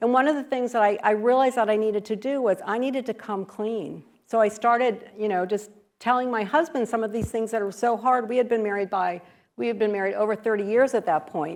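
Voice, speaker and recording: A woman's fairly high voice at a very fast pace, with ordinary pitch variation and a quiet background. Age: 60s. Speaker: author and speaker on people-pleasing. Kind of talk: interactive talk / workshop presentation. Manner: conversational, with many fillers.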